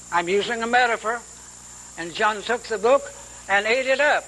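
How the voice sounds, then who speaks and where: A man's raised, projected voice, high in pitch, at a fairly quick pace with fairly even intonation, over noticeable background noise. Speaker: Bible teacher. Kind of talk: sermon.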